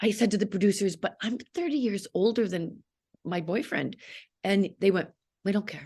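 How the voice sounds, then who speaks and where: A woman's somewhat breathy voice in a Canadian accent, dark and mellow in tone, at a fairly quick pace. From Canada, Toronto. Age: 60s. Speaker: actress. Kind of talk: interview. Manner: animated; halting.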